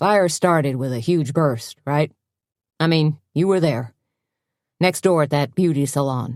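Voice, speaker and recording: In a put-on character voice, someone mumbles gruffly at a low-to-middle pitch, moving at a moderate pace broken by long, frequent pauses. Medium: read story. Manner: hesitant, gruff, mumbling.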